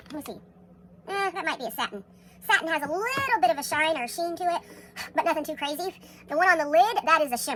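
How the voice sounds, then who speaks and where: Over noticeable background noise, a high-pitched woman with an American accent talks at a very fast pace with lively intonation. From Texas. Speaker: makeup tutorial creator. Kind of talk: tutorial. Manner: casual, chatty.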